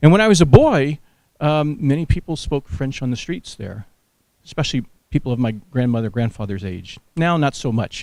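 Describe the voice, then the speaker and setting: Fairly quick speech in an American accent, with big swings in loudness. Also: man. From US South, New Orleans. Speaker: research director and retired Air Force general. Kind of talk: lecture. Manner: fast.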